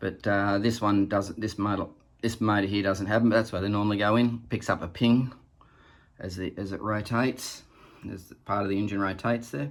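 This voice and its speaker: This man speaks with an Australian accent. His pitch is fairly low and his intonation fairly even. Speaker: boat owner showing engine. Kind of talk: tutorial. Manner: casual, halting with fillers.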